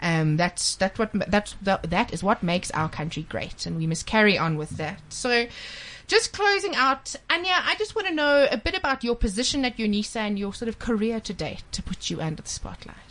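A woman with a South African accent at a fairly quick pace. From South Africa, KwaZulu-Natal. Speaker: radio host. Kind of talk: radio interview. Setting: studio.

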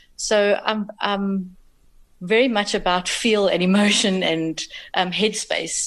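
With noticeable background noise behind her, a woman speaks very slowly at a medium pitch with fairly even intonation. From South Africa. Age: 40s. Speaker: amateur triathlete. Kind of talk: casual interview.

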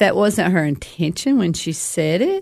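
Against a quiet background, a woman speaks with a Tennessee accent. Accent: Southern US (Tennessee). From DeKalb County, Tennessee. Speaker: counselor sharing recovery story. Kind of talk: testimony.

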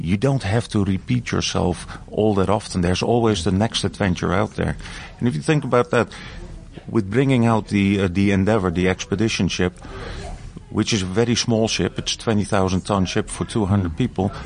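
There is noticeable background noise behind a man's fairly low voice. His loudness stays very even. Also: ordinary pitch variation, moderate pace. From Europe. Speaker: cruise line executive. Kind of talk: interview. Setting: on a cruise ship. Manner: halting.

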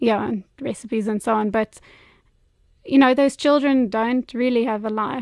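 Recorded with a dry, close sound, no echo and a quiet background, a woman talks at a moderate pace in an ordinary speaking voice, fairly high in pitch. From US and England. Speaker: teacher and mother. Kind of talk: interview testimony.

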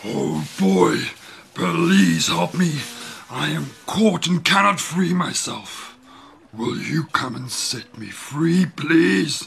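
A man does a put-on character voice at a fairly high pitch. His delivery is very slow. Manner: pleading.

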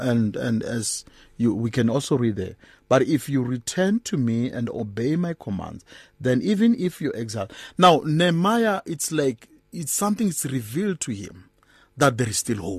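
Against a quiet background, a somewhat breathy man makes very wide pitch swings. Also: medium pitch for a man, moderate pace. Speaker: bishop, guest preacher. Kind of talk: fervent prayer. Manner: earnest, impassioned.

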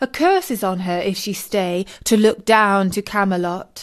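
A woman talks at a fairly slow pace. Hers is an unremarkable speaking voice at a medium pitch. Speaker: storyteller reading poem aloud. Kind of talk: poetry reading, scripted narration for children.

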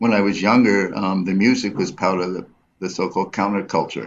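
Here a man speaks at a fairly low pitch. His pace is moderate and his intonation fairly even. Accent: New York. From US, New York City. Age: 70s. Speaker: photographer and artist. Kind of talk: radio interview. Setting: studio. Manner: halting.

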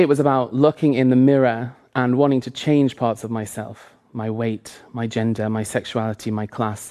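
In a Lancashire accent, a man with a dark, mellow tone and medium pitch speaks at a moderate pace with ordinary pitch variation. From northern England, Lancaster area. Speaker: author and drag performer. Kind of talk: talk.

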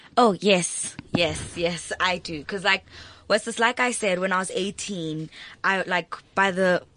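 A woman talks at a fairly slow pace with a medium pitch. Her intonation is fairly even, and there is noticeable background noise. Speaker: student. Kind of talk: casual chat. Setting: studio.

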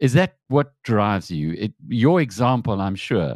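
Dry and close with no echo, a man's fairly low voice sits over a quiet background. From South Africa. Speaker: news editor and interviewer. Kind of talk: interview.

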